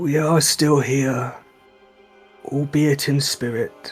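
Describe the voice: Over faint background music, a man delivers a put-on character voice at a very slow pace. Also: fairly high pitch for a man.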